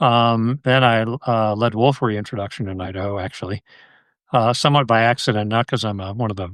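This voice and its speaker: A man with an American accent and a plain, everyday voice, fairly even intonation at a fairly quick pace against a quiet background. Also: medium pitch for a man. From Connecticut, US. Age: 60s. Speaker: wildlife biologist and conservationist. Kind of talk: casual podcast interview.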